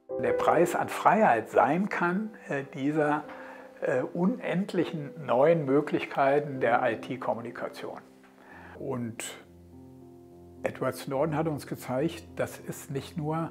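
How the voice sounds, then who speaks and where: Clear music plays behind a man speaking very slowly at a fairly high pitch, with lively intonation and long, frequent pauses. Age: 70s. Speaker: politician and lawyer. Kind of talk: interview answer. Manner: hesitant, with filler sounds. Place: office.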